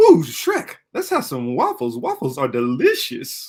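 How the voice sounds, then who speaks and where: A man's raspy, put-on character voice with a cheerful tone, at a fairly slow pace. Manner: cheerful, chatty, cartoonish.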